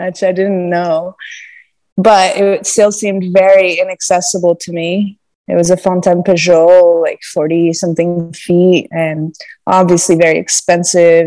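With music in the background and a dry sound with no echo, a woman speaks at a fairly slow pace. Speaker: podcast guest. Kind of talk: interview answer. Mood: cheerful, laughing often. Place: home room. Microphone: earbuds.

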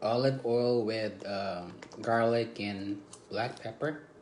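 At a very slow pace and with ordinary pitch variation, the speaker talks over noticeable background noise. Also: man. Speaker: vlogger. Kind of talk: casual vlog chat. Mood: relaxed, cheerful. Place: home room. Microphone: phone near.

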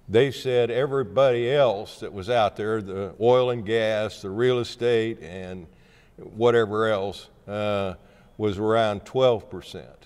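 His pitch sits fairly low. The man has an American accent. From southeast Kansas. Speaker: former state senator and county appraiser. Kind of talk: oral history interview. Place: hall. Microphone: lapel.

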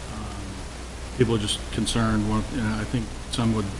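A man speaks at a moderate pace. Behind him, the background noise is noticeable. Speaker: town administrator giving a report. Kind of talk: meeting report. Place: meeting room. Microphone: podium.

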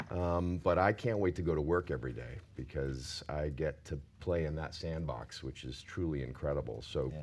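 With an American accent and vocal fry, a man speaks at a very deep, low pitch with ordinary pitch variation, at a moderate pace and with hardly any pauses. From US South. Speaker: TV showrunner and professor; panelist. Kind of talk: panel discussion. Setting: stage with audience. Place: stage.

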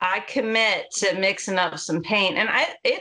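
A woman's bright, sharp tone over a quiet background. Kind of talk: casual conversation commentary. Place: home room. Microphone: video call.

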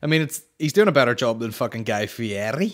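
At a fairly quick pace, a man speaks at medium pitch with big pitch swings. The recording is very clean, with a silent background.

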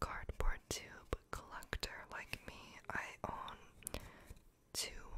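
A woman at a very slow pace against loud background noise. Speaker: ASMR creator. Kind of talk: soft-spoken ASMR chat. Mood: playful, deadpan humor. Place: home room. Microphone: studio mic.

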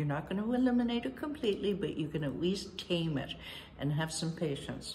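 A woman speaks at a fairly low pitch with very wide pitch swings. Light background noise can be heard. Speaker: decluttering coach. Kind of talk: casual vlog chat. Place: home room.

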